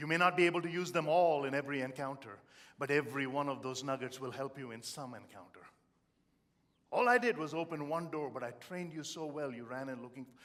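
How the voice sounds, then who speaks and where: Speaking very fast with an Indian accent, a man uses a fairly high pitch and lively intonation. His loudness swings a lot. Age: 50s. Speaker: motivational speaker. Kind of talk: motivational speech. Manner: animated.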